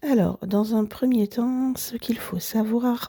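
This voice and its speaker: The woman's delivery is very slow. Her voice sounds dry and close, without any echo. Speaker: book podcaster. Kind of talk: book review monologue.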